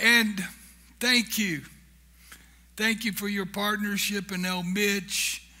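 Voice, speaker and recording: Speaking at a fairly slow pace with fairly even intonation, this man has a bright, sharp tone, and audible room echo surrounds him. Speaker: founder of a humanitarian charity, guest speaker. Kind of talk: church talk. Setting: church. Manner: humorous, conversational.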